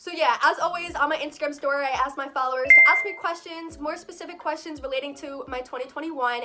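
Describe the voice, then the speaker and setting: Over noticeable background noise, a woman speaks in a raised, projected voice at a very fast pace. Her pitch is high, with ordinary variation. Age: 20s. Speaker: vlogger. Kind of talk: casual Q&A vlog.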